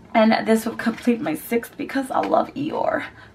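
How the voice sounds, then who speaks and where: A woman's fairly slow pace comes through noticeable background noise. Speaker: beauty vlogger. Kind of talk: product review. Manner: animated.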